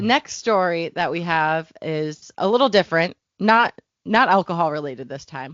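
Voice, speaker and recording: In an unremarkable speaking voice, a woman with fairly low pitch talks at a moderate pace with lively intonation and big swings in loudness. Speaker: content developer. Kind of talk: podcast co-host reading and reacting to stories. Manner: casual, conversational.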